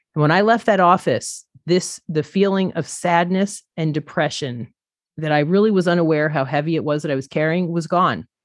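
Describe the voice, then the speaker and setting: A woman with an unremarkable speaking voice, fairly low pitch, and ordinary pitch variation, at a moderate pace against a quiet background. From upstate New York. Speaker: podcaster in recovery. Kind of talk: casual interview.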